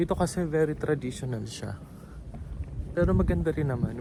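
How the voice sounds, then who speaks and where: A man speaks softly. His pace is moderate. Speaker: vlogger. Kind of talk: walking tour vlog. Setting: outdoors. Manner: soft-spoken; casual.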